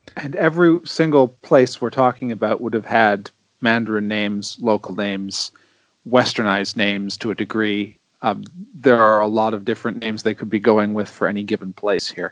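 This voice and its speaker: With a normal speaking voice, a man talks at a fairly quick pace in a fairly low pitch with ordinary pitch variation, the sound dry and close with no echo. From Canada. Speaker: podcast guest panelist. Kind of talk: casual chat.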